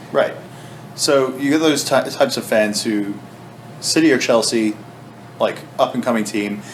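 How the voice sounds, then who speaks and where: Noticeable background noise sits behind a man speaking at a moderate pace. His medium pitch shows ordinary variation, broken by long, frequent pauses. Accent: American. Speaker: sports podcast host. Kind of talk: casual chat.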